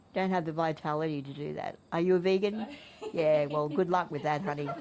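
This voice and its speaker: A woman speaks with an Australian accent in a very deep, low pitch. Her intonation is fairly even over noticeable background noise. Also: fairly quick pace. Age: 70s. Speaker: spiritual teacher. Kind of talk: interview answer.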